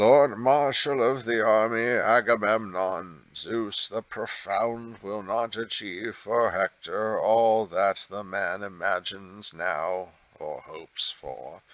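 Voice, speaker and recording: In a put-on character voice, a man talks at a fairly slow pace with a fairly low pitch and ordinary pitch variation. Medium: read story. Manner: measured, authoritative.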